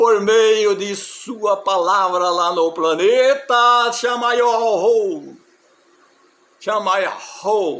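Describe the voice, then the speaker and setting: Very slow, high-pitched male speech with audible room echo. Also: ordinary pitch variation. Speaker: religious preacher. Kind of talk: sermon.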